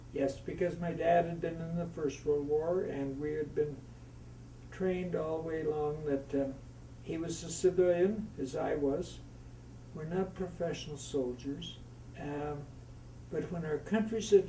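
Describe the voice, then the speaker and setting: Fairly high-pitched male speech with a Canadian accent, moderate pace, fairly even intonation, long, frequent pauses and audible room echo. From Canadian Prairies, Saskatchewan. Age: 80s+. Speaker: war veteran. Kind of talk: oral history interview. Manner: halting.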